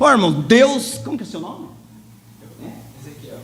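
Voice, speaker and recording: Here a man speaks at a moderate pace with very wide pitch swings. There is noticeable background noise and audible room echo. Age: 60s. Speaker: lay preacher. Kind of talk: sermon. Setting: church service.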